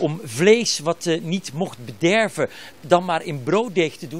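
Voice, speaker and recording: This man's pitch varies in an ordinary way. The sound is dry with no echo, over light background noise. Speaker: TV reporter. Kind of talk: live news report. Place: shop. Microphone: handheld.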